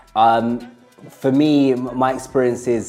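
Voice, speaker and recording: Speaking very slowly with fairly even intonation, a man is heard over music in the background. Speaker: co-founder and CEO of an arts therapy company. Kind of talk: interview answer. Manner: thoughtful, hesitant.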